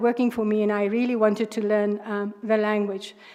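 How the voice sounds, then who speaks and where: A woman with a South African accent speaks at a fairly high pitch in a monotone, flat intonation over noticeable background noise. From South Africa, Northern Cape. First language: Afrikaans. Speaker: judge, candidate for judicial post. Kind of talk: job interview. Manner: hesitant, many fillers.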